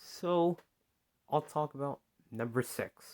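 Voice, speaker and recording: A man with a non-native accent, bright, sharp tone and ordinary pitch variation, in a dry, close sound with no echo on a very clean recording with a silent background. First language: not English. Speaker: YouTuber. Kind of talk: opinion monologue. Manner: halting.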